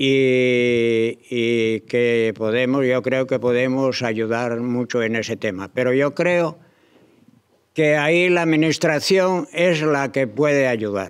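Speaking at a very slow pace, a man keeps his loudness very even and his pitch variation ordinary. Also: medium pitch for a man, quiet background. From Asturias, Spain. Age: 80s+. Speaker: organic farmer; panelist. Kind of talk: panel presentation. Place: hall. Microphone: podium.

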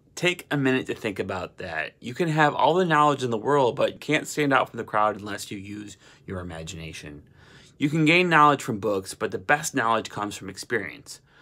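Speaking at a fairly quick pace and medium pitch, a man with a bright, sharp tone makes very wide pitch swings and big swings in loudness. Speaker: motivational vlogger. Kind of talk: motivational pep talk to camera. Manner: energetic, urgent, exhortatory; rhythmic, emphatic, repeating slogans. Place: home room. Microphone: phone near.

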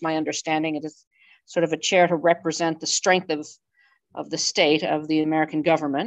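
Over a quiet background, a woman with a fairly low voice speaks at a moderate pace. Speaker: auction house department head and event host; auction house department head, event host. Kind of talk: webinar introduction and Q&A moderation. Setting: video call. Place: hall. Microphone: headset.

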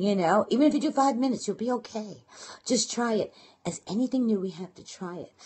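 Speaking very fast, a woman with an American accent sounds somewhat breathy and fairly high-pitched. Her intonation is lively and her loudness swings widely. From Brooklyn, New York. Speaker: internet marketing and blogging coach. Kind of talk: casual live broadcast talk with tips. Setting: live phone video broadcast. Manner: fast talker; animated, chatty. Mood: warm, encouraging.

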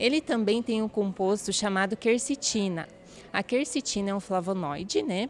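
A woman speaks at a fairly slow pace. Light background noise sits behind her. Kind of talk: interview answer. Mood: calm, informative. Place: office. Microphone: handheld.

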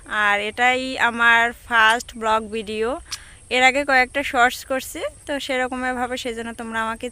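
Over music in the background, a woman speaks at a high pitch with fairly even intonation. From Bangladesh, Barisal. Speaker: vlogger. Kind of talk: vlog introduction to camera. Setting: outdoors.

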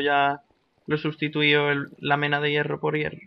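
Here a man speaks at a fairly quick pace. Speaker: gaming YouTuber. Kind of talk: gameplay commentary. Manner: animated.

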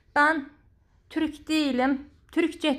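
A woman's fairly even intonation is heard over a quiet background. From Georgia (Azerbaijani community). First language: Azerbaijani (speaking Turkish). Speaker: plant care vlogger; home orchid care vlogger. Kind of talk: tutorial; casual chat. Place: home room. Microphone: phone near.

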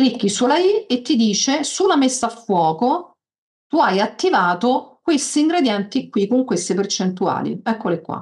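Against a quiet background, a woman's high voice rises and falls in very wide pitch swings. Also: fairly slow pace. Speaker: software tutorial instructor. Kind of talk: tutorial. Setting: video call. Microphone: video call.

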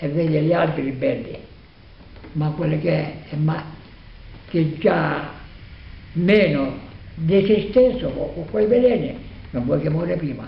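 Speaking very slowly with a Salentino accent, a man leaves long, frequent pauses amid audible room echo. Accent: Salentino Italian. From Salento, Apulia, southern Italy. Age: 80s+. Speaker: farmer. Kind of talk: interview answer. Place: home room. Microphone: phone near.

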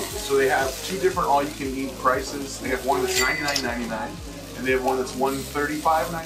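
A man speaks fairly slowly while clear music plays behind him. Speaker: food reviewer. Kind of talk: casual vlog chat. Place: bar.

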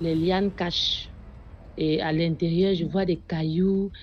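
A woman speaks at a fairly slow pace with a somewhat breathy voice. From Cameroon, Yaoundé. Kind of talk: testimony.

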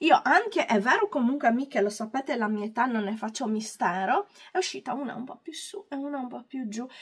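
A woman talks at a fairly quick pace with a high pitch. Her intonation is lively, and her loudness swings widely. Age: 40s. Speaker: beauty and hair youtuber. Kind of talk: tutorial. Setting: at home. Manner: calm.

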